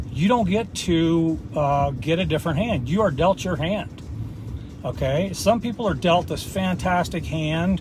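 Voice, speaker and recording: With an American accent, a man speaks at a high pitch with lively intonation, amid audible room echo and noticeable background noise. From US Midwest, small-town Indiana. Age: 50s. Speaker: motivational vlogger. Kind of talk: motivational monologue. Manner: casual, filler-heavy.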